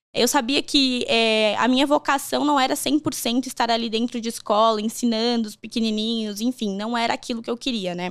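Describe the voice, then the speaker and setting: Here a woman's high-pitched voice moves at a moderate pace with ordinary pitch variation. The recording is very clean, with a silent background. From Rio Grande do Sul, Brazil (Encantado). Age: 20s. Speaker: HR professional. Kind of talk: podcast interview. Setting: studio. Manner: talkative, lively.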